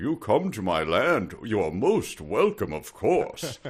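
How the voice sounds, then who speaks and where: A man's put-on character voice, medium in pitch and fairly slow in pace. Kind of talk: formal, regal. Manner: cheerful, formal, welcoming.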